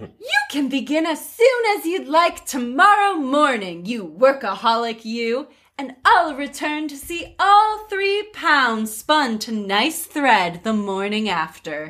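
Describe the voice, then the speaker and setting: A woman's high, put-on character voice with very wide pitch swings, at a fairly slow pace with hardly any pauses. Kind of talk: regal attempt. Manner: sweet.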